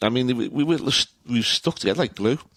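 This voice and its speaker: With a Liverpool accent, a man talks at a fairly quick pace and ordinary pitch variation, the sound dry and close with no echo on a very clean recording with a silent background. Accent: Scouse. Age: 60s. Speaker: retired local politician and author. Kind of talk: casual interview. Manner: halting, frequent repetitions.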